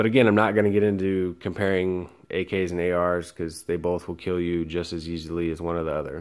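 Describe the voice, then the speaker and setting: A man's very deep, low voice with an American accent in a very clean recording with a silent background. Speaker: firearms YouTuber; military veteran. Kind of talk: casual video review. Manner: stuttering, excited.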